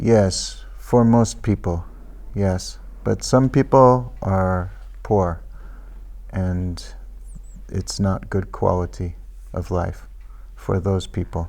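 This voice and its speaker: A man with a Pacific Northwest accent at a very slow pace, with long, frequent pauses. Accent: American English, Pacific Northwest. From US Pacific Northwest, Everett, Washington. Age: 60s. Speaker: immigrant interviewed by school pupils. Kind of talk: interview. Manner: slow, simplified English for learners.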